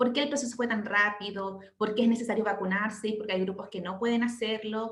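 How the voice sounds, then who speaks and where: There is audible room echo around this woman as she talks. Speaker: midwife. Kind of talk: lecture. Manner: fast.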